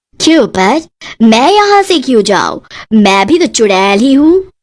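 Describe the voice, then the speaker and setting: A woman's cartoonish character voice, high-pitched, with very wide pitch swings. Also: moderate pace. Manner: English-sprinkled Hindi.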